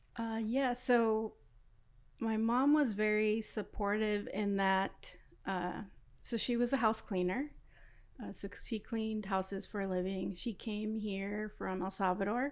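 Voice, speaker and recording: Speaking fairly slowly with an American accent, a woman has an unremarkable speaking voice at a fairly high pitch. Her intonation is fairly even, and the recording is very clean with a silent background. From Los Angeles, South Central. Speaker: aerospace engineer. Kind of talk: interview.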